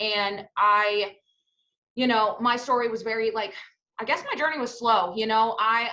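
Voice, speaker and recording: Loud and energetic, a woman's bright, sharp voice moves at a fairly quick pace with a fairly high pitch. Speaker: network marketing team leader. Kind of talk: testimony. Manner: loud, energetic.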